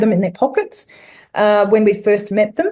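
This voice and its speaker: A woman's dark, mellow voice with an Australian accent. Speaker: tourism consultant and speaker. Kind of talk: webinar presentation. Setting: online webinar. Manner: halting, many fillers.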